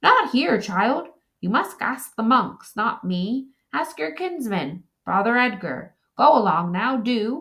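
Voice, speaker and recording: A woman puts on a whiny character voice, raised and projected, at a fairly high pitch. She speaks at a fairly slow pace. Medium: read story. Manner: querulous, whining.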